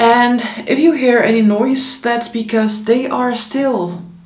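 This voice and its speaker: Very slow speech from a woman, the room echo audible. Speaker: vlogger. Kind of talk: casual vlog chat. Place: home room.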